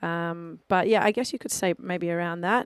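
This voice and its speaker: In a strong Australian accent, a woman with a medium pitch speaks at a fairly slow pace with fairly even intonation, on a very clean recording with a silent background and a dry, close sound with no echo. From Australia, Melbourne. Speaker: DJ. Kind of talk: casual radio interview. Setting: radio studio.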